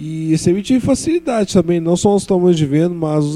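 Dark, mellow tone from a man at a moderate pace, ordinary pitch variation, dry and close with no echo. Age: 20s. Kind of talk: panel talk at public event. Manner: halting, repeats words.

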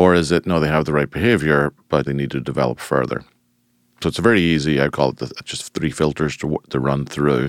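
A man with an American accent speaks at a fairly quick pace in a very deep, low voice with vocal fry, ordinary pitch variation, and a dry, close sound with no echo. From Ireland. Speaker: financial firm managing partner. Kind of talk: interview.

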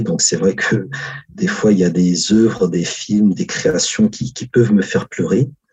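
This man has an ordinary speaking voice with a fairly low pitch. He talks at a fairly slow pace. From Africa. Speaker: historian. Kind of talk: interview.

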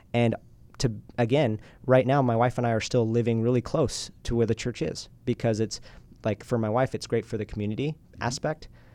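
A man speaks at a fairly quick pace with an American accent, his pitch medium. His tone is dark and mellow, and his intonation stays fairly even. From Utah, US. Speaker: entrepreneur and podcast host. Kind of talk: casual interview. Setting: studio.

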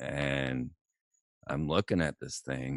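There is vocal fry in this man's voice, with a dry, close sound and no echo. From Florida, Orlando. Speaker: radio host and documentary producer. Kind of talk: interview.

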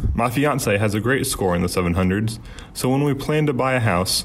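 A man talks with ordinary pitch variation, his voice carrying audible room echo and noticeable background noise. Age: 20s. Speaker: college student asking a question. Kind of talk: recorded listener question.

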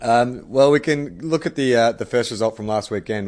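A medium-pitched man with an Australian accent against a quiet background. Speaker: podcast host. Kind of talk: casual chat. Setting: video call.

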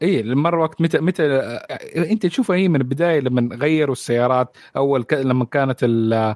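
Moderate pace with hardly any pauses, ordinary pitch variation, very even loudness, and a dry, close sound with no echo. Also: man. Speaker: guest, movie fan. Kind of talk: casual chat.

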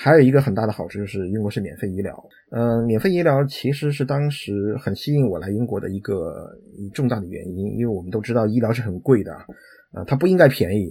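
Over a silent background in a very clean recording, a man with a dark, mellow tone talks very fast at a medium pitch with lively intonation. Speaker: IT professional. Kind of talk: interview conversation.

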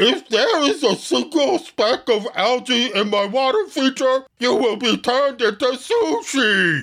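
Shouting in a put-on character voice with a fairly high pitch, the speaker moves at a fairly slow pace with hardly any pauses. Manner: menacing, shouting.

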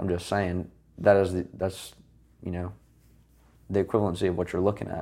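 With long, frequent pauses between stretches of fairly quick speech, a man talks in a very deep, low pitch with a dark, mellow tone and monotone, flat intonation. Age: 20s. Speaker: young manager, military college graduate. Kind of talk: casual interview chat.

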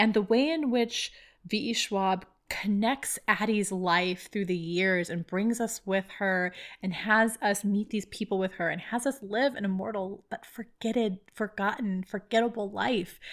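Delivery comes at a fairly slow pace. It is an unremarkable speaking voice, with ordinary pitch variation. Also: woman, medium pitch for a woman. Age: 30s. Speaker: podcast host. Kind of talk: casual interview chat.

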